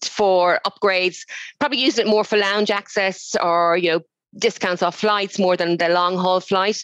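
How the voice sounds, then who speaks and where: A woman with an Irish accent speaks at a medium pitch and moderate pace, with ordinary pitch variation, over a quiet background. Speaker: loyalty awards organiser. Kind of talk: casual interview. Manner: hesitant, many fillers.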